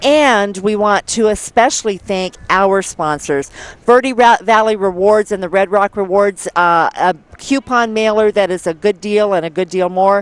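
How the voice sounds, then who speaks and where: In a dry sound with no echo, a woman speaks at a moderate pace with ordinary pitch variation. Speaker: local TV event announcer. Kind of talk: sponsor announcements. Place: open country. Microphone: headset.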